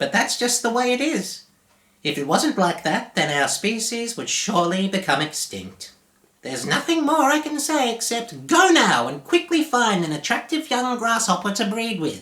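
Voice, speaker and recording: A man's put-on character voice, extremely high-pitched, with very wide pitch swings at a moderate pace. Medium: read story. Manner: folksy, blunt.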